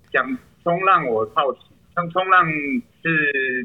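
Lively intonation runs through this man's speech. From Pingtung, Taiwan. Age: 20s. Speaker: cheerleader. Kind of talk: casual chat.

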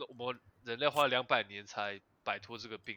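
A man talks in a medium pitch with ordinary pitch variation. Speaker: podcast host. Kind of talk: casual chat. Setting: online remote recording.

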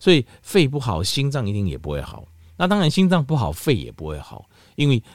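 A man with vocal fry and very wide pitch swings, in a very clean recording with a silent background and a dry, close sound with no echo. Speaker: health podcast host. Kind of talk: solo health talk. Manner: casual, many filler particles.

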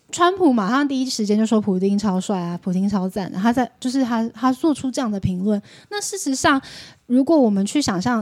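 A woman talks in a normal speaking voice at a fairly high pitch. Her pace is fairly quick and her intonation lively. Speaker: podcast guest who lived in Russia. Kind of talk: casual chat.

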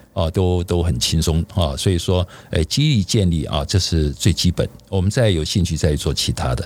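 At a fairly quick pace, a man speaks in a very deep, low pitch with vocal fry, ordinary pitch variation and very even loudness. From Taiwan, Keelung. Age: 60s. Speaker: bodybuilder. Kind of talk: casual chat. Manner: many filler sounds, hesitant.

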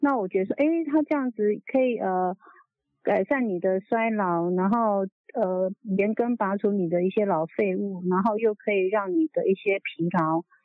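Woman with a plain, everyday voice, medium pitch, lively intonation and a moderate pace. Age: 60s. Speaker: product user testimonial caller. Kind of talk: testimony. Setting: phone call.

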